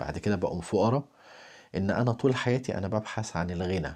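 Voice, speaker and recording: Over a quiet background, a man speaks in an Egyptian accent. His pitch is fairly low with ordinary variation, and his pace is moderate. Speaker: spiritual talk host. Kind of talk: spiritual talk. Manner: soft-spoken.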